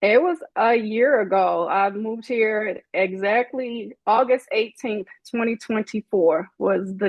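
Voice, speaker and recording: A woman with a slight Southern US accent, ordinary pitch variation and a fairly slow pace. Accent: slight Southern country twang. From Chicago. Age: 40s. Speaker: doctorate holder sharing life story. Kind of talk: podcast interview.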